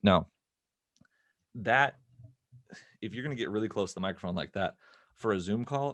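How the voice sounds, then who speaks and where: A man's fairly low voice at a fairly quick pace with long, frequent pauses and ordinary pitch variation, dry and close with no echo against a quiet background. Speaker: filmmaker and film educator. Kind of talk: interview, explaining audio tips. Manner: talking quieter. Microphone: close to microphone in treated room.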